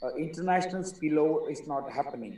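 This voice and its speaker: At a moderate pace, a man speaks with ordinary pitch variation, and audible room echo surrounds his voice. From India. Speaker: caller. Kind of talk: audience question. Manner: halting.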